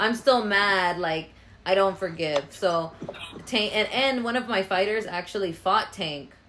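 This woman's voice sits at a medium pitch and has a bright, sharp, animated tone. She talks at a fairly slow pace with ordinary pitch variation. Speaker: podcast host. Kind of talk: casual chat interview. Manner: animated, joking.

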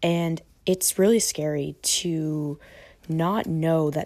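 A woman with a very deep, low pitch, a dark, mellow tone and fairly even intonation. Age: 20s. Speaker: online coach and podcast host. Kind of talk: solo monologue, personal storytelling. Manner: casual, conversational.

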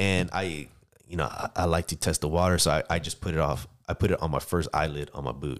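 On a very clean recording with a silent background, a man with an American accent speaks in a very deep, low pitch with vocal fry and fairly even intonation. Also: fairly quick pace. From San Diego, California. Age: 30s. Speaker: soldier. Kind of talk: casual chat.

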